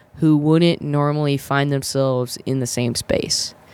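Monotone, flat intonation comes with an American accent. The recording is very clean, with a silent background. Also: woman. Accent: slight Southern, mostly flattened. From South Carolina.

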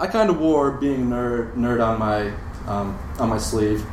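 A man with an American accent, nervous in tone and fairly slow, amid noticeable background noise. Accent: Midwestern American, formerly British. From Europe, then US Midwest. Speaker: lawyer. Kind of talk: storytelling live.

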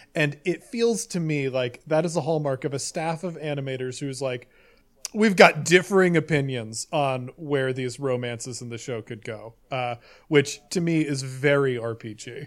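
At a moderate pace, a man speaks in a normal speaking voice at a fairly high pitch, with ordinary pitch variation and big swings in loudness. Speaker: roleplay podcaster. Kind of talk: casual chat.

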